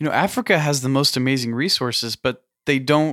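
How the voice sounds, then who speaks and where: Here a man with an ordinary speaking voice talks at a moderate pace in a fairly high pitch, with ordinary pitch variation. The recording is very clean, the background silent. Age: 20s. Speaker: podcast host. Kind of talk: casual interview.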